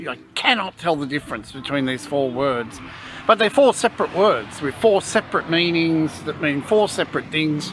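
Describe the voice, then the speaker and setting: In an Australian accent, a man speaks at a moderate pace with a fairly high pitch and lively intonation over noticeable background noise. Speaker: vlogger. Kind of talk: casual chat. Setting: restaurant.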